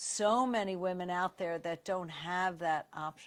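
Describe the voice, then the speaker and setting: Against a silent background in a very clean recording, a woman speaks with a New York accent. Her pitch is medium, her pace fairly slow, and her pitch variation ordinary. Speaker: radiologist. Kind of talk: interview. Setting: live stream.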